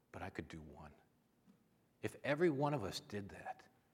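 His pace runs fairly quick. The man has an American accent. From Minnesota. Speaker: visiting preacher. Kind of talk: on-stage interview; sermon. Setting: church.

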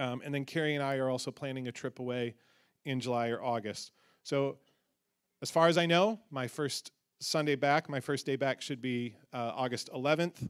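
In a very clean recording with a silent background, a man talks at a moderate pace with ordinary pitch variation in an ordinary speaking voice. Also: medium pitch for a man. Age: 40s. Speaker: pastor. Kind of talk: church announcement. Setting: church.

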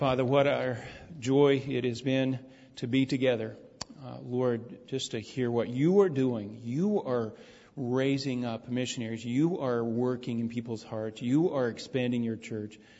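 This man has a normal speaking voice, medium in pitch, and talks at a fairly slow pace. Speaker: pastor. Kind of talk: church announcements and prayer. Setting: church service.

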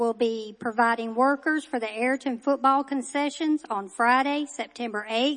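A woman with a high pitch talks at a moderate pace with fairly even intonation. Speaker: church announcer. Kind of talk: announcements reading. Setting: church.

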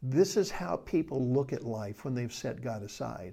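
A man's dark, mellow tone with vocal fry, medium pitch and a fairly slow pace. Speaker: Bible study teacher. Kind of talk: Bible study lecture; prayer. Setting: recorded video for a study group.

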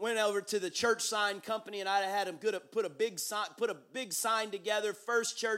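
The speaker reads aloud plainly, with fairly even intonation.

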